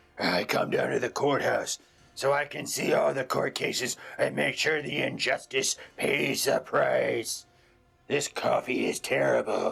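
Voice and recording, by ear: Over faint background music, a man uses a raspy, cartoonish character voice at a moderate pace.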